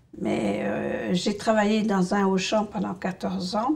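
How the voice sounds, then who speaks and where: There is noticeable background noise. A woman talks at a medium pitch with ordinary pitch variation. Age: 60s. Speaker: patient with essential tremor. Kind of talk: testimony. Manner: halting.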